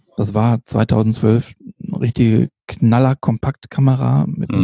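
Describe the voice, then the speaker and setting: In a dry, close recording with no echo, a man with a medium pitch and a dark, mellow tone speaks at a fairly slow pace with lively intonation. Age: 50s. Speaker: street photographer and nurse. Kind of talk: casual interview. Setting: late-evening podcast recording. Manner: hesitant, many fillers.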